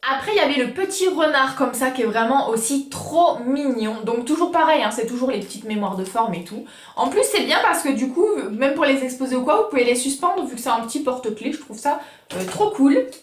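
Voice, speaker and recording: With noticeable background noise and audible room echo, a woman talks at a fairly quick pace in a high pitch, her tone animated and her intonation lively. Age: 20s. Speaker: YouTuber. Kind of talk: casual haul video.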